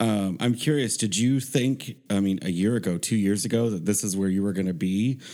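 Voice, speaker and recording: A plain, everyday voice moves at a fairly quick pace with ordinary pitch variation and hardly any pauses on a very clean recording with a silent background. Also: man, fairly low pitch for a man. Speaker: podcast co-host. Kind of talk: casual banter and interview. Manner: playful, jokey.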